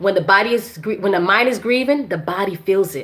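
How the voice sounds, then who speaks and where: A woman at a medium pitch and a fairly quick pace, over noticeable background noise. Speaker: women's health and herbal wellness educator. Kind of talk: live-stream Q&A. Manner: loud; casual, halting with many fillers.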